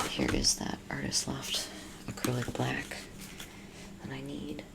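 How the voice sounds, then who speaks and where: A fairly slow whisper comes through over noticeable background noise. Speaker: ASMR artist and painter. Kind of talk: soft-spoken explanation while painting.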